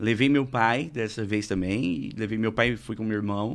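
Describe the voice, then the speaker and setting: A man with an ordinary speaking voice, medium pitch and ordinary pitch variation, over a quiet background. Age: 30s. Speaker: radio presenter and stand-up comedian. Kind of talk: casual chat.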